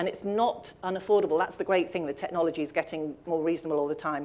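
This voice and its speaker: A woman's voice, dark and mellow in tone. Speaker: audio describer and accessibility presenter. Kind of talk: presentation talk. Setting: live event with audience and stream. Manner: fast.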